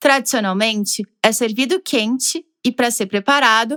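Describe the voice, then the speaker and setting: Fairly slow speech from a woman with a southern Brazilian accent, ordinary pitch variation, and a dry, close sound with no echo on a very clean recording with a silent background. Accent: gaúcho Brazilian Portuguese. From southern Brazil, Rio Grande do Sul (Porto Alegre). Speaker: podcast narrator. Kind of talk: scripted narration.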